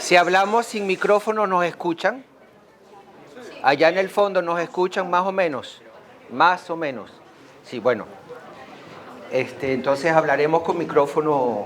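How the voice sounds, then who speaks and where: With lively intonation and a high pitch, a man speaks fairly slowly, leaving long, frequent pauses while crowd noise sounds in the background. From Venezuela. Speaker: association member, speaker. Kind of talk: school talk.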